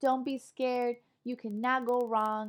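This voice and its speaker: An animated, high-pitched woman with a Spanish accent, at a moderate pace. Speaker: online English teacher. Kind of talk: online lecture class.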